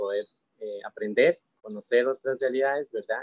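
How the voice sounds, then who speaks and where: A man talks with a dry, close sound and no echo. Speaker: university student, event co-host. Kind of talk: interview conversation. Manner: hesitant, many fillers.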